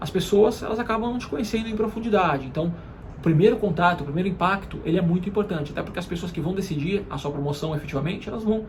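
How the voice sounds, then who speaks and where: A man talks very fast in a high voice with ordinary pitch variation. Noticeable background noise and audible room echo surround him. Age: 30s. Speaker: marketing executive and career YouTuber. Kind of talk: motivational career talk to camera. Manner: frequent hesitation fillers.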